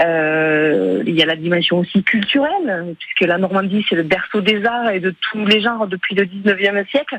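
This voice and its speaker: Noticeable background noise sits behind a woman speaking at a medium pitch. She talks with hardly any pauses and ordinary pitch variation. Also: moderate pace. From Aveyron, southwest France. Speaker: regional politician. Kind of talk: radio interview. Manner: hesitant, many filler euh.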